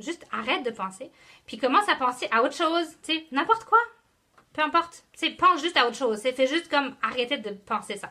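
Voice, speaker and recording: Raised and projected, a woman's high voice with a Quebec accent has a bright, sharp, animated tone, lively intonation and a fairly quick pace. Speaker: network marketing team leader. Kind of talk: live motivational talk. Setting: live video stream.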